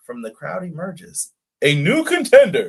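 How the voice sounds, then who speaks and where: A man puts on a character voice at a moderate pace. The sound is booming. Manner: dramatic, booming.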